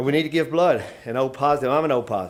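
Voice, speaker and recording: Speaking very fast with ordinary pitch variation, a man talks in a Tennessee accent. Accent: US Southern (Tennessee). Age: 60s. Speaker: fire department chief. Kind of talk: press conference speech. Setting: stadium press room. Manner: halting, many fillers.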